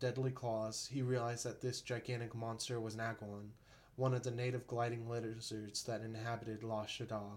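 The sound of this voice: The voice reads aloud. It is an unforced reading voice.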